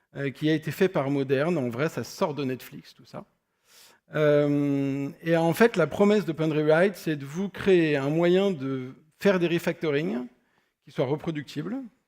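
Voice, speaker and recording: Talking at a fairly slow pace, a man uses a fairly high pitch with ordinary pitch variation and big swings in loudness. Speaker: software architect, conference speaker. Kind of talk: conference talk. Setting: stage with audience. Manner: hesitant, many fillers.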